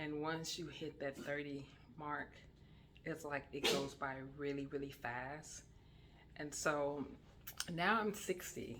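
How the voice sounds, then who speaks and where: Someone speaks at a fairly slow pace, with audible room echo. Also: woman. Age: 60s. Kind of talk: casual religious talk. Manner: hesitant, many fillers.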